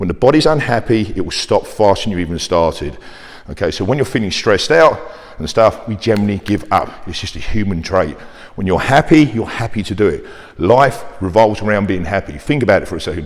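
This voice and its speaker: Against noticeable background noise, a man with a fairly low pitch talks at a fairly quick pace in an animated tone with lively intonation. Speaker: personal trainer. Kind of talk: fitness talk to camera. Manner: fast.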